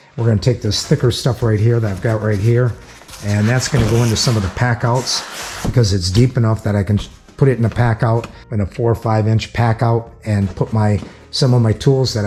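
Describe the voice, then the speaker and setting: A man's medium-pitched voice at a fairly quick pace, with fairly even intonation and noticeable background noise. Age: 60s. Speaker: tool and garage video maker. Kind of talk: casual vlog talk to camera. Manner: halting, with fillers.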